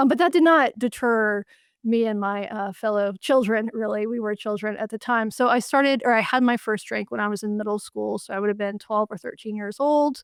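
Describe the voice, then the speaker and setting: A woman with an American accent and an ordinary speaking voice, fairly high in pitch with ordinary pitch variation, at a fairly quick pace with hardly any pauses, in a very clean recording with a silent background and a dry, close sound with no echo. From US South, western North Carolina. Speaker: journalist and author. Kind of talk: interview.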